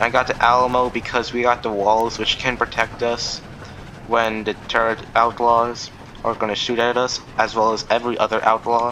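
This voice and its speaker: A man's medium-pitched voice, flat and monotone, at a moderate pace over noticeable background noise. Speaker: gaming youtuber. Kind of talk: gameplay commentary. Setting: recording over gameplay. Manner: casual rambling.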